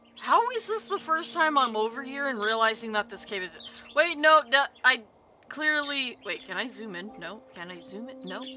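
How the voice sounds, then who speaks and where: Over noticeable background noise, a raised, projected voice moves at a moderate pace with lively intonation. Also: woman, high pitch for a woman. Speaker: VTuber gaming streamer. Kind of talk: live gaming stream chat. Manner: animated.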